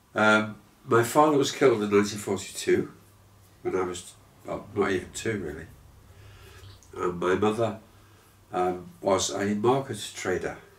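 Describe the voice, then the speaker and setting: Long, frequent pauses break up the speech, and audible room echo surrounds it. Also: man, fairly low pitch for a man, ordinary pitch variation, moderate pace. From Liverpool, England. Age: 70s. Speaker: musician. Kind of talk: interview. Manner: hesitant, many fillers.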